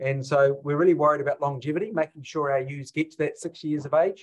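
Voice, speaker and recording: At a moderate pace, a man with a New Zealand accent speaks in a fairly high pitch, somewhat breathy, with fairly even intonation. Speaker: sheep husbandry professor. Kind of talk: webinar lecture.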